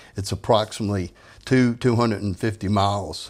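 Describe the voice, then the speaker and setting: Over a very clean recording with a silent background, a man speaks with a fairly low pitch and fairly even intonation. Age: 60s. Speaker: retired police investigator. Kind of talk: interview.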